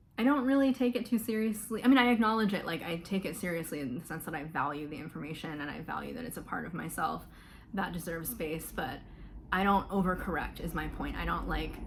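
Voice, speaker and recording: A woman with an American accent speaks at a very fast pace in a fairly low pitch, using very wide pitch swings and vocal fry, with audible room echo. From US South, Florida. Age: 20s. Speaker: mental health vlogger. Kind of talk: personal testimony. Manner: casual, many fillers.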